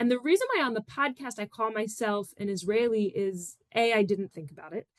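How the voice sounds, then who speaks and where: A woman's unremarkable speaking voice, fairly high in pitch, with ordinary pitch variation. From US Northeast, Philadelphia suburbs. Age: 30s. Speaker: educator and activist. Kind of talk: podcast interview. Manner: casual, many fillers.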